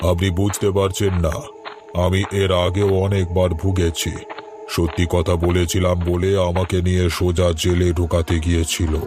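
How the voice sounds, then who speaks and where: Over clear background noise, a man uses a cartoonish character voice, very deep and low, at a fairly slow pace. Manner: eerie, sly.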